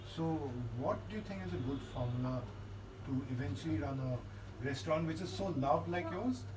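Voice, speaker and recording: Amid noticeable background noise, a medium-pitched man talks at a fairly quick pace with lively intonation, yet leaves long, frequent pauses. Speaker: food blogger. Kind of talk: casual talk to camera.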